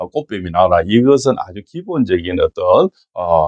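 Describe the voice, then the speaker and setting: In a Gyeongsang accent, a man speaks at a moderate pace. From Gyeongsang region, Korea. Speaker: fortune teller and saju lecturer. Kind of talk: fortune-telling talk with political opinion. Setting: office. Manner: animated.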